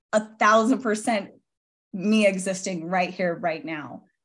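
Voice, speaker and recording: Animated in tone, a woman speaks at a medium pitch with ordinary pitch variation. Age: 40s. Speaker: author and entrepreneur. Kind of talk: interview.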